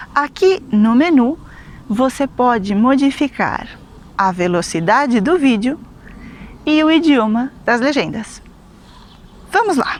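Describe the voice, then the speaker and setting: This woman has a Brazilian accent and a high pitch, with very wide pitch swings but very even loudness. She talks at a very slow pace, leaving long, frequent pauses. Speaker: Portuguese teacher. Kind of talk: language lesson to camera.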